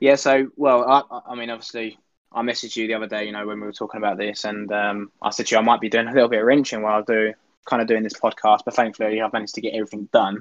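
In a dry, close recording with no echo and a quiet background, a man of medium pitch talks very fast in a monotone, flat delivery. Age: 20s. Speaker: RC car racing driver. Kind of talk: casual chat. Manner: halting.

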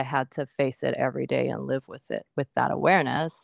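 Her voice sits at a very deep, low pitch and carries vocal fry at a moderate pace. The recording is very clean and silent behind her, with a dry, close sound and no echo. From Japan. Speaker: podcast co-host. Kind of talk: casual chat.

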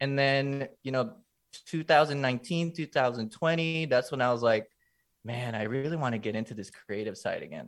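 With a Californian accent, a man talks at a fairly slow pace in a medium pitch with ordinary pitch variation. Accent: California English. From Los Angeles, US. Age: 20s. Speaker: content creator. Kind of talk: casual chat.

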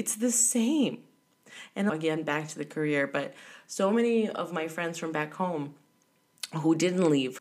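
A woman speaks in an animated tone at a fairly low pitch. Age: 30s. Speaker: travel podcaster. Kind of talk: solo monologue.

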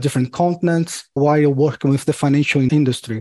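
In a Portuguese accent, a man speaks at a fairly quick pace with a fairly high pitch and a dark, mellow tone. The recording is very clean, with a silent background and a dry, close sound with no echo. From Brazil. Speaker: payment security executive. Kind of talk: interview.

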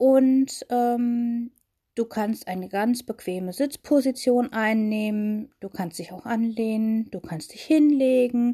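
A woman's calm, soothing tone at a very slow pace. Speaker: meditation guide. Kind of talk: guided meditation. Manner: slow, calm, soothing, with long pauses; gentle, intimate, addressing listener as 'du'.

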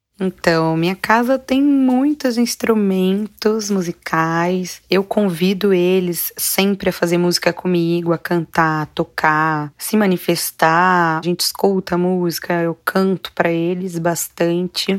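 Recorded very cleanly against a silent background with a dry, close sound and no echo, a woman speaks at a very slow pace. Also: medium pitch for a woman, ordinary pitch variation, hardly any pauses. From interior of São Paulo state, Brazil. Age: 20s. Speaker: singer and educator, mother. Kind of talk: interview conversation.

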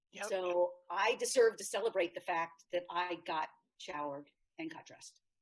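The speech moves at a moderate pace with ordinary pitch variation. Loudness swings widely throughout. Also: woman, medium pitch for a woman. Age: 60s. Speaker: author. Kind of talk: interview. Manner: halting.

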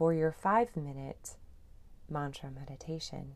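A woman speaks at a very deep, low pitch with a gentle tone and ordinary pitch variation. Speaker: meditation guide. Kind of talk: guided meditation. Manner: calm, slow, soothing; gentle, unhurried, with long pauses.

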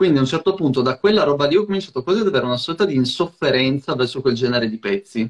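A man with a fairly high pitch speaks very fast with hardly any pauses. His intonation is lively, and the sound is dry and close with no echo. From Friuli-Venezia Giulia, near Trieste. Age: 20s. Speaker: hip hop DJ. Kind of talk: casual chat.

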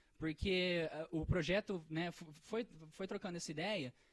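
His pitch is high for a man. It varies in an ordinary way. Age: 20s. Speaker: entrepreneur. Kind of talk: casual chat.

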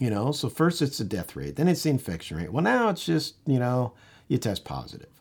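A man talks at a fairly quick pace, his medium pitch swinging very widely. Vocal fry shows up in his voice. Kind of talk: angry rant. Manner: indignant, worked-up, pounding out repeated phrases; urgent, rallying, emphatic.

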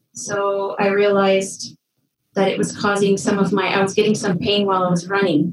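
In a Canadian accent, a woman with a normal speaking voice talks at a moderate pace, her medium pitch held in fairly even intonation. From northwestern Ontario, Canada. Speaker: kinesiologist. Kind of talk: interview.

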